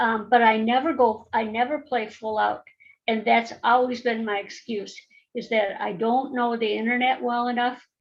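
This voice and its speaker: Her pitch is fairly high and her pace moderate. The woman speaks with monotone, flat intonation. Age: 70s. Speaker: network marketer. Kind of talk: casual chat. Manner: halting.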